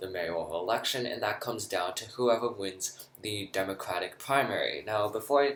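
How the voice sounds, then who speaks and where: The speaker talks at a moderate pace. Pitch varies in an ordinary way. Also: man. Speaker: political commentator. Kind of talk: political analysis video. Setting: lounge, away from usual recording area. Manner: quieter than usual. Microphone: echoey, not usual recording setup.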